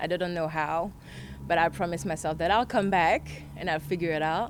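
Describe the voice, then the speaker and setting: With a French accent, a woman speaks at a moderate pace in a fairly low pitch, her intonation fairly even. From France. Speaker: model and influencer. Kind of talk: casual interview chat.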